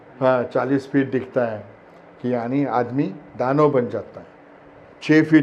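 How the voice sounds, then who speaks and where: Here a man speaks with a Marathi accent. His fairly high pitch follows a fairly even intonation. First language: Marathi (speaking Hindi). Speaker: actor. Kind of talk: interview. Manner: hesitant, many fillers.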